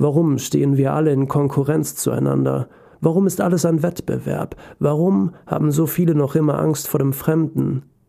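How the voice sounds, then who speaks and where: Here is a man with an unremarkable speaking voice, fairly high in pitch. He talks at a moderate pace. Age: 20s. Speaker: podcast host and author. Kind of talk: personal essay monologue. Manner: emotional.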